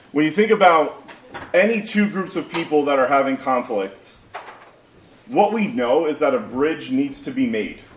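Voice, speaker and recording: Amid noticeable background noise, a man keeps a moderate pace while his pitch swings very widely. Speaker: pastor. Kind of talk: sermon. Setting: church.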